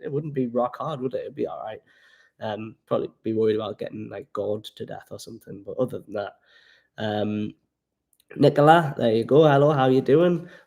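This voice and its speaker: A dark, mellow tone in a Geordie accent, with lively intonation, big swings in loudness and a moderate pace against a quiet background. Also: man, medium pitch for a man. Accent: Geordie, toned down. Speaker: travel vlogger. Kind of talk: casual livestream chat. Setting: home livestream by the fire.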